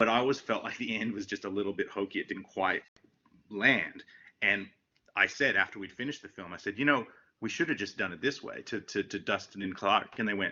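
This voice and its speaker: Fairly low-pitched man with an ordinary speaking voice and ordinary pitch variation. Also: fairly quick pace. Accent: American. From United States, suburban. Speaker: film director. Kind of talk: casual interview. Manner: many fillers and repetitions.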